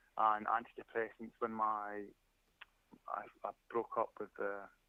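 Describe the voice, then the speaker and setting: A man's medium pitch at a moderate pace. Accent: Scottish. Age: 40s. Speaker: caller, arborist. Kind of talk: call-in show chat.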